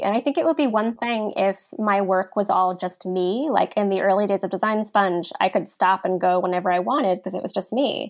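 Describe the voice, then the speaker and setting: Fairly quick speech from a woman at medium pitch, with music in the background. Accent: American. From Virginia, US (Virginia Beach). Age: 30s. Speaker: design blogger and publisher. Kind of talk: interview.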